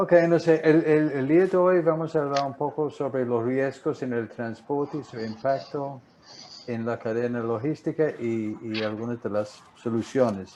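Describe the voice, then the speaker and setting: With a strong non-native accent, a man speaks fairly slowly at medium pitch and ordinary pitch variation. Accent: strong English-speaker accent in Spanish. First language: English (speaking Spanish). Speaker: marine insurance broker. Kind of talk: webinar presentation. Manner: halting, repeats words.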